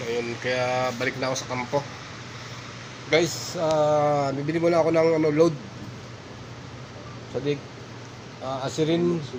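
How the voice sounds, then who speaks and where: Amid noticeable background noise and audible room echo, a man with a fairly high pitch talks at a fairly slow pace, keeping fairly even intonation and leaving long, frequent pauses. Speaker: vlogger, overseas worker. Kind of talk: casual vlog narration.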